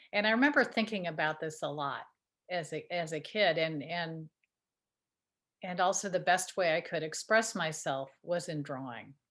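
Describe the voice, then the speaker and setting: Recorded very cleanly against a silent background, a woman talks at a moderate pace in a fairly low pitch with ordinary pitch variation. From US Midwest, Chicago area. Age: 60s. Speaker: artist. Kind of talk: interview. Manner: halting, many fillers and repeated words.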